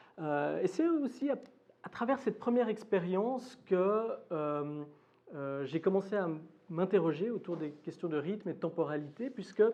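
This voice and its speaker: The speaker moves at a fairly slow pace with long, frequent pauses. The intonation is lively. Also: man. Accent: Swiss. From Switzerland, Geneva. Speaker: academic lecturer. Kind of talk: lecture. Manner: hesitant, many fillers.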